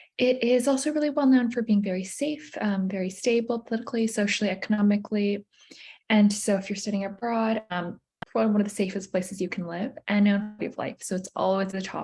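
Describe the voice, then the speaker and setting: A woman with an American accent speaks at a fairly quick pace in a medium-pitched, somewhat breathy voice, with ordinary pitch variation and big swings in loudness. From United States. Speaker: university admissions representative. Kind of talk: presentation at virtual college fair.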